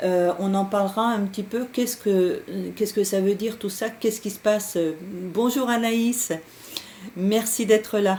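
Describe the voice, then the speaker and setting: Speaking fairly slowly, a woman with a medium-pitched voice has a dark, mellow tone and fairly even intonation. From France, Berry region. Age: 60s. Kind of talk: live stream talk. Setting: Skype live stream. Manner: hesitant, many fillers.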